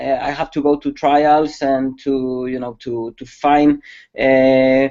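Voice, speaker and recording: A fairly slow pace, in a Spanish accent. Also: man. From Spain. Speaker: security expert. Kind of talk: webcast presentation. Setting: online webcast. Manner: halting, many fillers.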